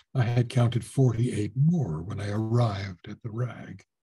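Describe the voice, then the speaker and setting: Against a quiet background, a man talks at a fairly slow pace. His tone is dark and mellow, somewhat breathy. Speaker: voice actor. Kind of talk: audiobook reading of a horror short story. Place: home room. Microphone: webcam.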